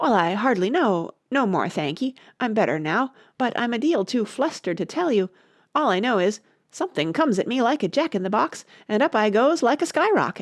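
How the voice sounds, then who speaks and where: Using a put-on character voice, a woman sounds squeaky at a fairly high pitch and a fairly quick pace. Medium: read story.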